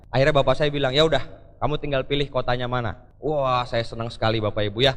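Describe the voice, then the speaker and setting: A man's voice is heard with audible room echo. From Jakarta, Indonesia. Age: 20s. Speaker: motivational speaker. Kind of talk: motivational speech. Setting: stage with audience. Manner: energetic.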